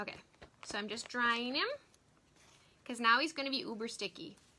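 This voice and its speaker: A woman speaks at a fairly quick pace in a high voice, with noticeable background noise. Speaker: craft demonstrator and product seller. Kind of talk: live-stream craft tutorial. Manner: animated.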